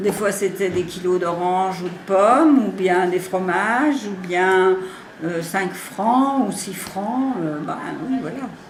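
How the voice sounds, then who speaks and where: Very slowly, a woman talks with ordinary pitch variation. Room echo is audible and background noise is noticeable. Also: medium pitch for a woman. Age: 70s. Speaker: writing facilitator, retired. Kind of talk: interview. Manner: hesitant, many fillers.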